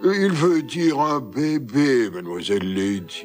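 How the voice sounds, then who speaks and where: A man puts on a character voice with a fairly high pitch. He goes at a fairly slow pace over clear music in the background. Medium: fan dub. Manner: hesitant, halting.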